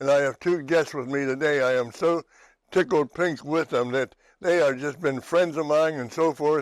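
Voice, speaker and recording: A man's fairly high voice at a moderate pace with fairly even intonation, dry and close with no echo, in a very clean recording over a silent background. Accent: western Pennsylvania. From western Pennsylvania, New Castle. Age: 80s+. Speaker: TV talk show host. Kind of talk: casual chat. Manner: halting.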